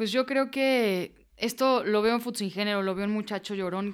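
On a very clean recording with a silent background, a woman with a fairly high pitch speaks in an ordinary speaking voice. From Mexico. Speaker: footballer and author. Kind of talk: testimony.

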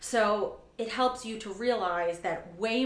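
A woman with an American accent, ordinary pitch variation, and noticeable background noise. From New York City, Staten Island. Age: 30s. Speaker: marketing team leader. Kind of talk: casual interview chat.

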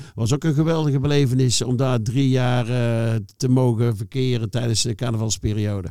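His tone dark and mellow, a man speaks with ordinary pitch variation and very even loudness. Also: medium pitch for a man, moderate pace, hardly any pauses. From North Brabant, Netherlands (Schijndel, near Den Bosch). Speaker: former football club staff. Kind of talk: casual interview.

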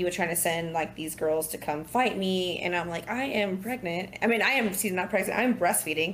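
A woman with ordinary pitch variation amid noticeable background noise. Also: medium pitch for a woman, moderate pace. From California. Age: 30s. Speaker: single mother and bartender. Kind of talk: casual interview. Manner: animated.

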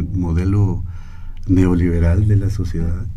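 The man speaks at a fairly slow pace in a room with audible echo. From Guatemala. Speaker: anthropologist and singer-songwriter. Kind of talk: radio interview. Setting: radio studio.

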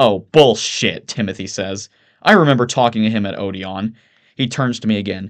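The pitch moves with ordinary variation. It is delivered in a natural reading voice.

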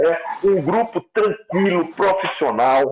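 A man talks in a high pitch. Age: 70s. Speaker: football coach. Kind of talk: interview.

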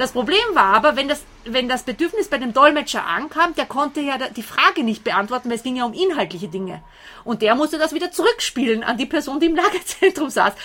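A woman speaks in a raised, projected voice. Her high pitch moves in very wide swings. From Austria. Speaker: translator and volunteer helper. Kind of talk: interview. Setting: outdoors on a balcony.

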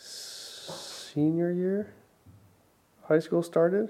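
A man speaks with an American accent. His tone is dark and mellow. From Arizona. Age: 30s. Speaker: realtor. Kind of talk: casual chat.

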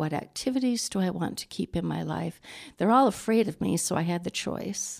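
This woman's fairly low voice carries vocal fry and lively intonation at a moderate pace. The recording is very clean, with a silent background. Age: 60s. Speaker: suicide widow sharing grief story. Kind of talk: interview testimony.

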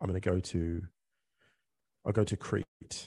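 Against a quiet background, a man's very deep, low, somewhat breathy voice with a dark, mellow tone and fairly even intonation comes through with a dry, close sound and no echo. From England. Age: 40s. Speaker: author and football podcaster. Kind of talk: casual chat. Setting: remote call.

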